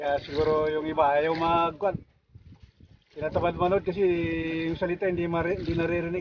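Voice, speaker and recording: A man's high pitch in a monotone, flat intonation, fairly quick but broken by long, frequent pauses. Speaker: fishing vlogger. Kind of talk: casual vlog talk. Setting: outdoors on a boat at sea.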